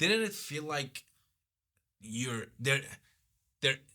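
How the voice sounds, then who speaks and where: This man has a slight Persian accent and a bright, sharp tone at a medium pitch. He speaks fairly slowly, with very wide pitch swings. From Iran. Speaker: guest. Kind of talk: casual chat.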